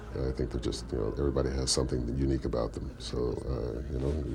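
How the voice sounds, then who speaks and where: A man's very deep, low voice at a very fast pace, with audible room echo. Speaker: voice actor. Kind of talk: interview. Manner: halting, many fillers.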